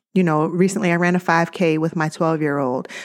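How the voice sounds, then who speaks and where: With fairly even intonation and a fairly low pitch, a woman speaks in an ordinary speaking voice on a very clean recording with a silent background. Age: 40s. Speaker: podcast host. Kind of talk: solo podcast monologue.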